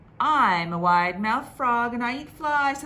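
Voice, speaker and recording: A high-pitched female voice in a put-on character style. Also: moderate pace. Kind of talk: bedtime story. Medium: read story.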